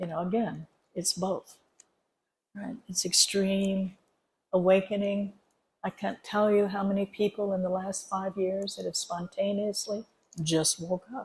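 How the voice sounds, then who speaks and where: Somewhat breathy, a woman speaks at a fairly slow pace in a monotone, flat intonation, leaving long, frequent pauses. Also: medium pitch for a woman. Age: 70s. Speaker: spiritual teacher. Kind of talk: dharma talk at a retreat. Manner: conversational.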